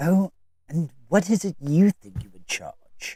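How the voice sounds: A man puts on a character voice with a high pitch. He talks at a fairly slow pace.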